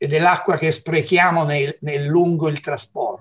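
A man speaks in a high-pitched voice. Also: quiet background. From Tuscany, Lucca. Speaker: geologist. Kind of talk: TV interview. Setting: video call. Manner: halting, repetitive. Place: home room.

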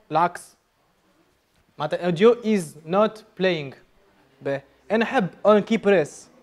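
A man's high-pitched voice at a fairly slow pace, with ordinary pitch variation and long, frequent pauses. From Tunisia. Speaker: programming instructor. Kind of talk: live coding workshop. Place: classroom. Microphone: lapel.

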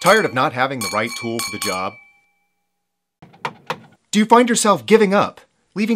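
Music in the background beneath a man's voice full of very wide pitch swings. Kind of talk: parody infomercial voice-over. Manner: upbeat, salesy.

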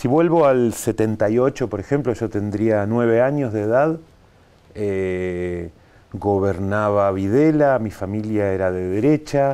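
A man speaks at a very slow pace with ordinary pitch variation. His tone is dark and mellow. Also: fairly low pitch for a man. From Buenos Aires, Argentina; Argentina. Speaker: animation filmmaker; TV interview guest. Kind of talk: interview. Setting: TV studio. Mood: relaxed, reflective. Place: studio.

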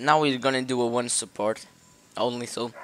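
Over faint background music, a man speaks at a fairly slow pace in a dry sound with no echo. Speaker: gamer commentator. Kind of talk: casual gameplay commentary. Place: home room.

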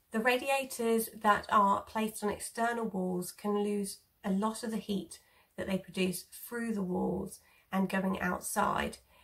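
The woman speaks at a fairly slow pace with fairly even intonation. The background is quiet. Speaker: home eco vlogger. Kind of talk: tutorial. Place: home room. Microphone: phone near.

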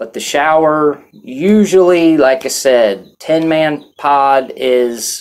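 Ordinary pitch variation marks this man's speech. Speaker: vlogger recounting jail experience. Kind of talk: casual vlog chat. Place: home room.

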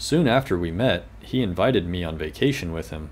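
A man's very deep, low pitch with vocal fry, very wide pitch swings and a fairly slow pace. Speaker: storybook reader. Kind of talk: reading a children's story aloud. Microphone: webcam.

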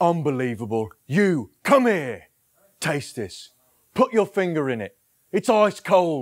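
A man at a very slow pace with very wide pitch swings, over a quiet background. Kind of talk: comedy impressions reel, direct to camera. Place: home room. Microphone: lapel.

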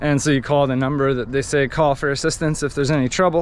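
Light background noise runs under a man's speech. He goes at a very fast pace, and the sound is dry with no echo. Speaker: sailing travel vlogger. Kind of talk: casual vlog chat. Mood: frustrated, annoyed. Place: waterside. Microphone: phone near.

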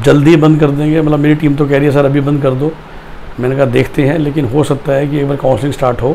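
Speaking at a very fast pace, a man with a fairly high voice keeps a monotone, flat intonation over light background noise. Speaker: career counselor. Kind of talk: educational video monologue. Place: office. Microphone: lapel.

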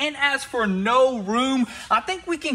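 A man speaks in a raised, projected voice. His pitch variation is ordinary. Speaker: shop owner vlogger. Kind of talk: casual vlog chat. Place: garage.

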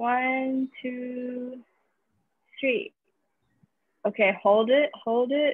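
Over a quiet background, a woman with a high pitch speaks at a very slow pace. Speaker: team organizer. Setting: video call. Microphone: video call.

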